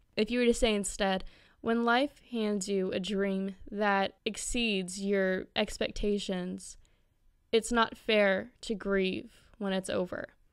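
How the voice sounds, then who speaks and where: A woman at a very slow pace, fairly even in intonation, on a very clean recording with a silent background. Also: medium pitch for a woman. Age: young. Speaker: literary critic vlogger. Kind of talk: casual commentary.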